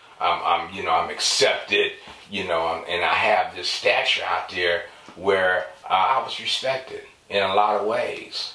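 There is noticeable background noise and audible room echo. A man speaks at a fairly slow pace. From San Francisco. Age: 50s. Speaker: interview guest sharing life story. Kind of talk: casual interview, personal testimony. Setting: studio on camera.

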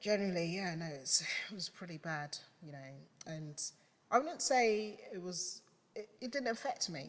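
A woman speaks at a moderate pace with lively intonation and big swings in loudness. She leaves long, frequent pauses. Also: medium pitch for a woman. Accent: London. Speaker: photographer. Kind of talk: casual chat.

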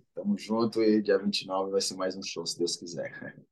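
A man speaks with a fairly low pitch. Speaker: MMA fighter. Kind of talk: casual interview.

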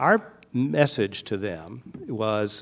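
Against a quiet background, an unremarkable speaking voice carries ordinary pitch variation. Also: man. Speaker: psychiatrist. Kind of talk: panel discussion. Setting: stage with audience.

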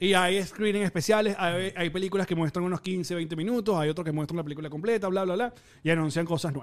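A high-pitched man with a Venezuelan accent, very fast, with ordinary pitch variation. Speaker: film and pop culture podcast host. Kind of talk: casual chat.

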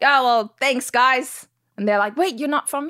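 In a dry, close sound with no echo, a woman with an American accent speaks in a bright, sharp tone with lively intonation. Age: 40s. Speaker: actress. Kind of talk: casual interview chat.

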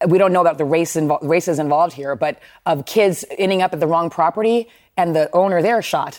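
A normal speaking voice with ordinary pitch variation at a fairly quick pace, on a very clean recording with a silent background. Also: woman, fairly low pitch for a woman. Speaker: news panelist. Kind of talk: TV news panel discussion.

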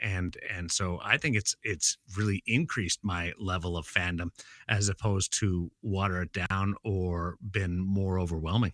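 In a western Canadian accent, a man speaks at a fairly slow pace with a very deep, low pitch and fairly even intonation. The recording is very clean and silent in the background, with a dry, close sound and no echo. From Brandon, Manitoba, Canada. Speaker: sports broadcaster. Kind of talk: casual interview.

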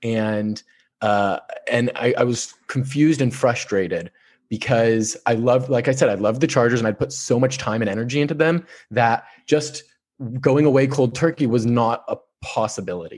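Over a quiet background, a man talks at a medium pitch with ordinary pitch variation. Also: moderate pace. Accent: Californian. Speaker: sports journalist. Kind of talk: interview. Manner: halting, repeats words.

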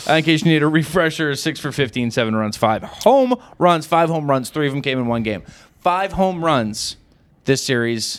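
Using lively intonation, a man talks at a fairly high pitch in an unremarkable speaking voice. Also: moderate pace, very clean recording, silent background. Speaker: podcast co-host. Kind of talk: casual sports podcast banter. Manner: excitable.

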